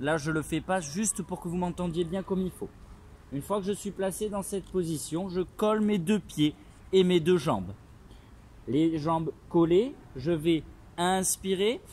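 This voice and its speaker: Long, frequent pauses break up this man's fairly slow speech. His pitch is high. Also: ordinary pitch variation. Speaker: pilates instructor. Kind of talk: tutorial. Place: open country. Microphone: phone near.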